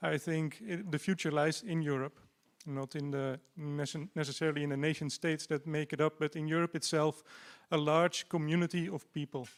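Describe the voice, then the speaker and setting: In a Dutch accent, a man with a fairly high pitch talks at a moderate pace with fairly even intonation, the sound dry and close with no echo on a very clean recording with a silent background. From Netherlands. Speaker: party candidate. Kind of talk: campaign speech.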